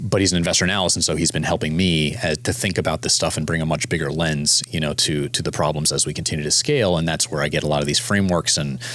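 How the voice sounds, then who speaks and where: Through noticeable background noise, a man with a very deep, low pitch races at a very fast pace with hardly any pauses, very even loudness, and ordinary pitch variation. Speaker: startup founder and CEO. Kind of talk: interview conversation.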